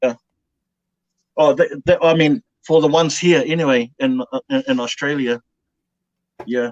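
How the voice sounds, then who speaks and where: Speaking at a moderate pace with long, frequent pauses, a man with a New Zealand accent uses lively intonation and a fairly high pitch. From New Zealand, Bay of Plenty, North Island. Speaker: dumpster diver. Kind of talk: casual chat. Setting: live stream.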